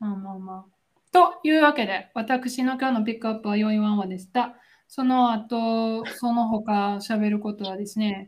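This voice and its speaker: A somewhat breathy woman's voice, fairly high in pitch with ordinary variation, at a fairly slow pace with hardly any pauses. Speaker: podcast co-host. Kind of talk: casual chat. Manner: animated, frequent laughter.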